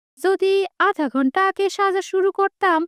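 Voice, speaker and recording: In a put-on character voice, a woman squeaks at an extremely high pitch and a moderate pace, with a dry, close sound and no echo. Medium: cartoon.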